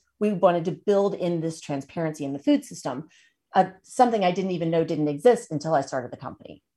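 Her voice is fairly low with a dark, mellow tone, lively intonation and big swings in loudness. The woman talks at a fairly quick pace in a very clean recording with a silent background. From Tennessee. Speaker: food company founder and nutrition advocate. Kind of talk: interview conversation.

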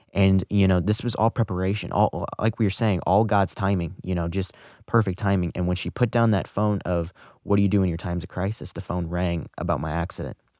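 Very deep and low, this man's dark, mellow voice has an American accent and fairly even intonation at a fairly quick pace. The recording is very clean with a silent background, dry and close with no echo. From US Midwest, St. Louis, Missouri. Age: young. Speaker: near-drowning survivor and student. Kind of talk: interview testimony.

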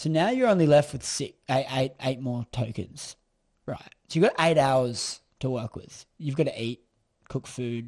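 In an Australian accent, a man talks at a fairly slow pace with medium pitch and ordinary pitch variation. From Queensland, Australia. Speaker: entrepreneur and social media influencer. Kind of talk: casual interview chat.

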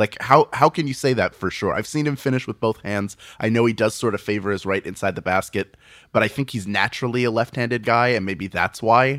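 A man speaks in a plain, everyday voice with an American accent, at a medium pitch and with ordinary pitch variation. The recording is very clean with a silent background, and the sound is dry and close with no echo. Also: fairly quick pace. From Philadelphia. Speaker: podcaster and comedian. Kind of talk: casual chat.

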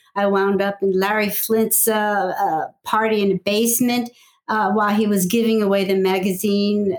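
A woman's medium-pitched voice with monotone, flat intonation, very even loudness and a moderate pace. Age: 70s. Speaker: pinup illustrator and painter. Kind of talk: casual interview.

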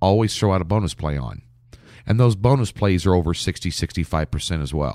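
An ordinary speaking voice in an American accent moves at a fairly quick pace with lively intonation. The sound is dry and close, with no echo. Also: man. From Nebraska, US Midwest. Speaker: professional sports handicapper. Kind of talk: interview.

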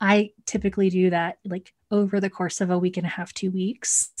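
Against a quiet background, a woman with an American accent speaks at a medium pitch and a moderate pace, her intonation flat and monotone. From Texas (Cedar Hill, near Dallas). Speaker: instructional coach, video coaching specialist. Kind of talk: interview.

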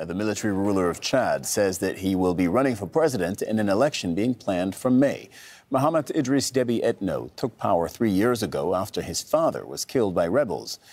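On a very clean recording with a silent background, a man with a fairly low, ordinary speaking voice talks at a fairly quick pace with lively intonation and hardly any pauses. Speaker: news presenter. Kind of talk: news reading. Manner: formal, brisk and even-toned, headline-style delivery; measured and neutral, steady newsreader pace.

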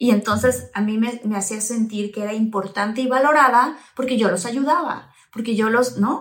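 At a moderate pace and with hardly any pauses, a woman talks in an animated tone, somewhat breathy and fairly high-pitched, with ordinary pitch variation. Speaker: podcast host and actress. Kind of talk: casual interview chat.

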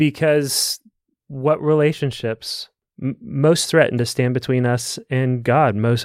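A normal speaking voice moves at a fairly slow pace with fairly even intonation, recorded with a dry, close sound with no echo, very clean, with a silent background. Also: man. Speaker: pastor. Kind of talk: panel discussion on church and family.

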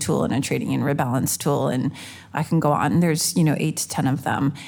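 A woman's very deep, low voice with vocal fry, ordinary pitch variation and a fairly quick pace. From Canada. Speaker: fintech executive. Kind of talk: live panel discussion. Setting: stage with audience.

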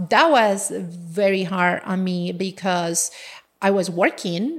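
A woman speaks at a medium pitch with a Colombian accent. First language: Spanish. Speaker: engineer and business owner. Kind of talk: casual interview conversation, personal storytelling.

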